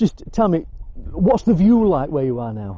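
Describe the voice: A man's fairly high voice with big pitch swings at a moderate pace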